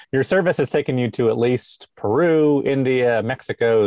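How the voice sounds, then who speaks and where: With an American accent, a man speaks in an unremarkable speaking voice at a medium pitch. His pitch varies in an ordinary way, at a moderate pace. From Alabama, US South. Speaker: podcast host. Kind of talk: interview. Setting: video call.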